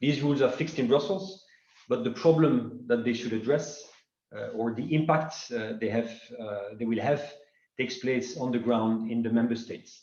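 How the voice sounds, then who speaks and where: A man talks at a moderate pace and medium pitch, his voice carrying audible room echo. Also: ordinary pitch variation. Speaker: secretary general of a finance advocacy association. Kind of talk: welcome address at web conference. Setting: online web conference.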